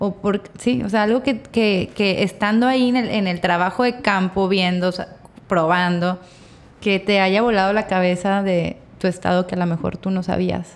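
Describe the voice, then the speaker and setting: Here is a woman with a normal speaking voice and medium pitch. She keeps a moderate pace and fairly even intonation. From Mexico, Torreón. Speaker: podcast host. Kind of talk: casual interview chat. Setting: studio.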